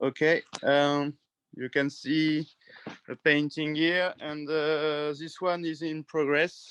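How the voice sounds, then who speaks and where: A man with a French accent speaks at a very slow pace, his pitch fairly high and his intonation monotone and flat. The sound is dry and close, with no echo. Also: quiet background. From western France, near the sea. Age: 30s. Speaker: painter. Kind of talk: casual interview. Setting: video call from garage studio. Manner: halting.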